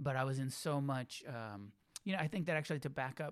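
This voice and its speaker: On a very clean recording with a silent background, a man with an unremarkable speaking voice and an American accent talks fairly quickly with ordinary pitch variation. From California, Santa Cruz. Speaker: Buddhist teacher and author. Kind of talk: casual interview.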